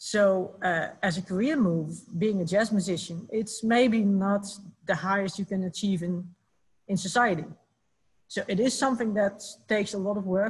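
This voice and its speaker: A woman with a Dutch accent speaks at a medium pitch and a moderate pace, somewhat breathy, with ordinary pitch variation. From Netherlands. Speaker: musicians' union representative; panelist. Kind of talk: online panel discussion. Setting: video call. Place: home room. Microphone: webcam.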